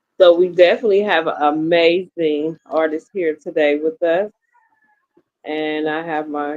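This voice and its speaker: With an American accent, a woman speaks at a fairly slow pace in a fairly low pitch, an unremarkable speaking voice. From Pittsburgh, Pennsylvania. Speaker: radio host and podcaster. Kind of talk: casual chat.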